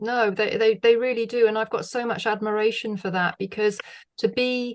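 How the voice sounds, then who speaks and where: A woman with a British accent is heard against a quiet background. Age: 60s. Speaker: former music TV presenter. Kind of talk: podcast interview. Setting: video call.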